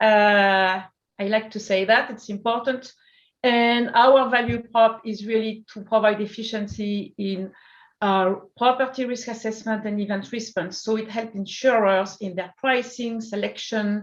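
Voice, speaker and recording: A woman with a French accent speaks at a fairly slow pace in a fairly high voice. Her intonation is monotone and flat, with big swings in loudness. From France. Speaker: startup CEO. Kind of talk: interview.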